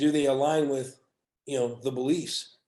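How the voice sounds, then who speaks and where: A man speaks at a fairly slow pace in a monotone, flat delivery, his tone dark and mellow. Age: 60s. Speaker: hospitality business professional. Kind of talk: podcast interview.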